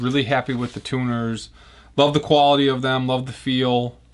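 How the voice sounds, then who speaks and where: The speaker has a Chicago accent and talks over a quiet background. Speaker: guitar builder. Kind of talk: tutorial. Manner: casual.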